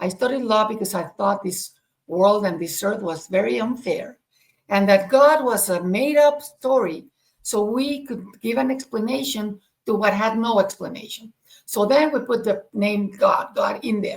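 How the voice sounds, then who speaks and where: This woman's voice is fairly high and somewhat breathy. She speaks at a moderate pace with ordinary pitch variation. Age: 60s. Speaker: spiritual podcast co-host. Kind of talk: conversational discussion. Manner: halting, with repetitions.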